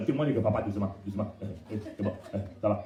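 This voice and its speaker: Talking at a very fast pace, a man uses an animated tone with very wide pitch swings, amid noticeable background noise and audible room echo. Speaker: pastor. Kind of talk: sermon.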